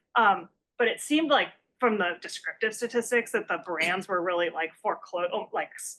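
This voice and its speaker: A woman talks at a fairly quick pace. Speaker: economics researcher, conference discussant. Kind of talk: academic conference presentation. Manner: fast; hesitant, many fillers.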